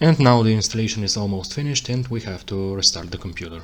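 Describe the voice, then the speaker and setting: The speech runs fairly quickly. The intonation stays lively throughout. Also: man. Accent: non-native. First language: not English. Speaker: tech tutorial creator. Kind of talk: tutorial. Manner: halting, self-correcting.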